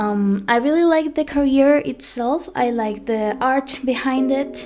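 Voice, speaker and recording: Music plays in the background as a woman speaks with lively intonation. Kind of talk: personal storytime talk.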